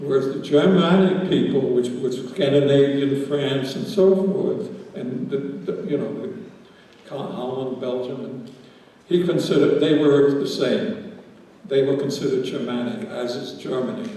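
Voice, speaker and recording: A man speaks at a fairly slow pace with a fairly high pitch and lively intonation. The room echoes audibly, and background noise is noticeable. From Netherlands, Amsterdam. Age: 80s+. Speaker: Holocaust survivor speaker. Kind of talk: lecture. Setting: school auditorium with audience. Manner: halting.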